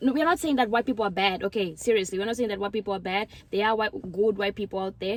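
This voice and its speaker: A woman with an African accent and a medium pitch speaks at a very fast pace. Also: ordinary pitch variation. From Mozambique. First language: Portuguese. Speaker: YouTuber. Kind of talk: casual chat. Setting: outdoors.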